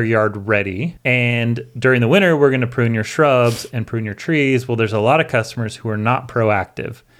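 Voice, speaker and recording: A man with an American accent talks in a plain, everyday voice at a medium pitch and a moderate pace. The recording is very clean, with a silent background. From US Northwest. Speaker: landscaper and education director. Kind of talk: casual chat. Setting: studio.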